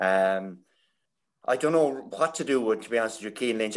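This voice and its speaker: Here a man speaks with an Irish accent. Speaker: hurling pundit, former player. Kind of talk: casual chat.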